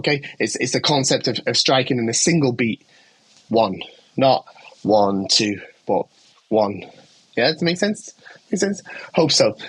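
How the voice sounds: Using a put-on character voice, a hoarse man speaks at a medium pitch and moderate pace with very wide pitch swings and long, frequent pauses.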